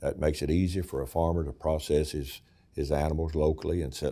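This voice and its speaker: A man with an Appalachian accent, a very deep, low pitch and a dark, mellow tone, talking at a fairly quick pace in a very clean recording with a silent background. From East Tennessee. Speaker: state senator. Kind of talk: interview answer.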